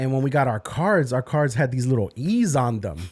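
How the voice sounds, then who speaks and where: The speaker is a man with a medium pitch. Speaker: podcast host and youth minister. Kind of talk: casual chat.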